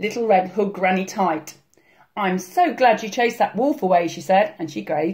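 The surroundings are quiet. Over them comes an unforced reading voice.

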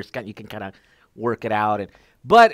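Over a quiet background, the speaker races at a very fast pace with lively intonation. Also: man. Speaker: podcast host, EV enthusiast. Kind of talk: casual interview chat. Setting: video call. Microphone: headset.

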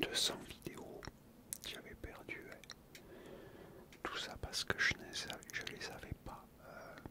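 Very slow speech under loud background noise. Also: man. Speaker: youtuber. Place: home room. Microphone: studio mic.

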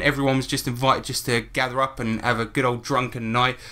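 A man with a British accent, a bright, sharp tone, medium pitch and a fairly quick pace. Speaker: podcast host. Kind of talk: casual chat. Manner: animated.

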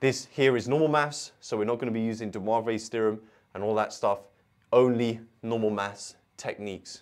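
With fairly even intonation, a man speaks at a fairly quick pace over a quiet background. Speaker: maths tutor. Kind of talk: tutorial. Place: studio. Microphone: lapel.

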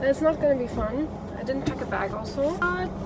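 Amid loud background noise, a woman speaks at a moderate pace with ordinary pitch variation, and the sound is dry, with no echo. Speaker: vlogger. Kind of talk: casual vlog chat. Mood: relaxed, upbeat. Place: car. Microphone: phone near.

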